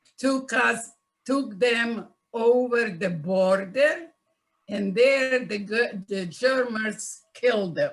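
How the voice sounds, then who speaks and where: At a very slow pace, a woman with a fairly high pitch speaks with ordinary pitch variation. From Czechoslovakia. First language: Yiddish. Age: 90s. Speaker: Holocaust survivor. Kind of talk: testimony. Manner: halting.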